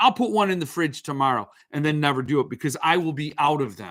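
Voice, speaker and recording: A man speaks in a fairly high pitch with a bright, sharp tone. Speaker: book review livestream host. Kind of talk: casual livestream chat with viewers. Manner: slow.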